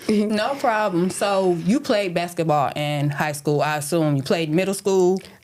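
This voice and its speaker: A woman with an American accent has an unremarkable speaking voice, fairly low in pitch with lively intonation. She talks at a fairly slow pace with very even loudness and hardly any pauses. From Flint, Michigan. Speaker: podcast host. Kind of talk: casual chat. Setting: studio.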